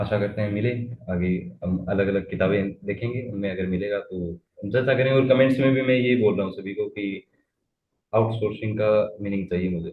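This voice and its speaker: The man's voice sits somewhat low, with normal rises and falls in pitch. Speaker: interviewer. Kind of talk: interview.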